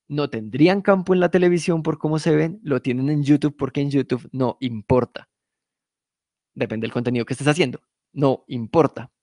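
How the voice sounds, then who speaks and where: In a dry, close sound with no echo and a quiet background, a man with a fairly high pitch and a dark, mellow tone speaks at a moderate pace with ordinary pitch variation. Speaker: podcast producer teaching a workshop. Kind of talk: lecture. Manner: casual, conversational.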